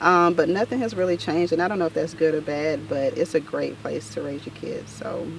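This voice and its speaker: Over noticeable background noise, a woman with an American accent speaks at a fairly quick pace. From US South, north Florida small town. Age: 30s. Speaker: makeup artist. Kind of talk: casual interview.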